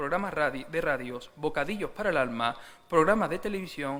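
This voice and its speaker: Audible room echo surrounds a man whose fairly high voice has lively intonation. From Seville, Andalusia, Spain. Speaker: church speaker giving a tribute. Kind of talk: formal tribute speech. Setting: church service.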